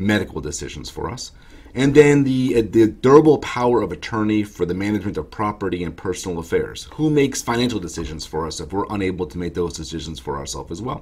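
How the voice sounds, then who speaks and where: Talking at a very fast pace with hardly any pauses, a man uses a fairly low pitch with very wide pitch swings and big swings in loudness. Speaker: estate planning attorney. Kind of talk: explanatory talk to camera. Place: office. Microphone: webcam.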